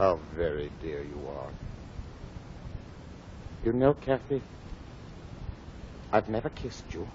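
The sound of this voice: Slowly, with long, frequent pauses, a man does a put-on character voice that is low-pitched and slightly mellow, with big pitch swings.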